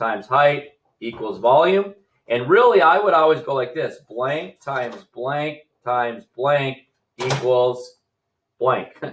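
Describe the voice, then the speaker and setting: A man's fairly high voice with lively intonation, at a very slow pace with long, frequent pauses, over light background noise. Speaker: fifth grade teacher. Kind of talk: recorded math lesson. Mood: relaxed, playful.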